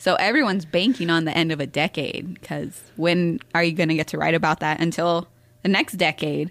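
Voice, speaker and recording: A woman talks at a fairly quick pace in a plain, everyday voice. Her pitch is fairly low, and her intonation is fairly even. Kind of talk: casual chat.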